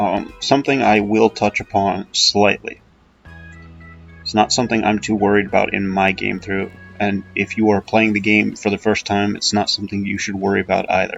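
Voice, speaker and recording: Over music in the background, a man talks at a moderate pace with monotone, flat intonation. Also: fairly low pitch for a man. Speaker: gaming video host. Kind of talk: casual gameplay commentary. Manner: hesitant, many filler sounds.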